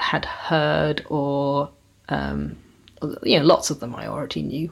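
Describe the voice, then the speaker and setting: A woman talks at a very slow pace with a West Country accent. The recording is very clean, with a silent background. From South Devon, England. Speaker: bluegrass guitarist and multi-instrumentalist. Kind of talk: casual interview chat.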